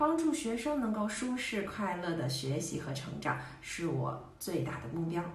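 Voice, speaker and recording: A woman with a fairly low pitch speaks at a moderate pace with very wide pitch swings, in a room with audible echo and light background noise. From Beijing, China. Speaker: Chinese teacher. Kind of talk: teacher self-introduction to camera. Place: home room. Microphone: phone near.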